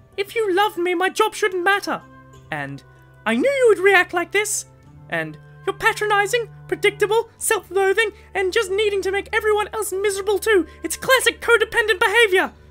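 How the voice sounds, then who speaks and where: Over faint background music, a woman with an extremely high pitch talks at a moderate pace with fairly even intonation. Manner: grateful, then yelling angrily.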